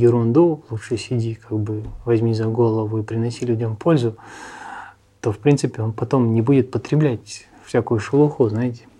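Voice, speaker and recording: This man's voice has a dark, mellow tone and is somewhat breathy, with medium pitch, fairly even intonation and a moderate pace. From Russia, Armenian family. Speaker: emigrant sharing life abroad. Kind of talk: interview.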